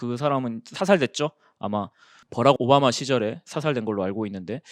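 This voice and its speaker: Recorded very cleanly against a silent background, a man's voice sounds dry and close with no echo. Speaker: exam prep instructor. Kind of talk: lecture. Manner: casual conversational.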